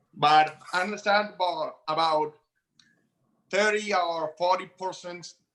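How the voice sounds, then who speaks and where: Speaking at a fairly slow pace with long, frequent pauses, a man with a non-native accent uses a high pitch, a bright, sharp tone and fairly even intonation. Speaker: prospective juror. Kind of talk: jury selection questioning. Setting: video call. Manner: halting.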